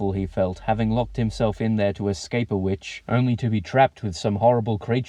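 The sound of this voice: Just an unforced reading voice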